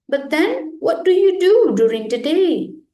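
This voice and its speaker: A woman puts on a high-pitched character voice with very wide pitch swings. Her pace is moderate. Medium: read story. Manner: bright, inquisitive.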